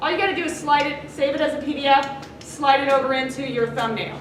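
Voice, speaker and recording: A woman speaks at a fairly quick pace in a high pitch. Audible room echo and noticeable background noise surround her voice. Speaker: teacher. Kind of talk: classroom lecture.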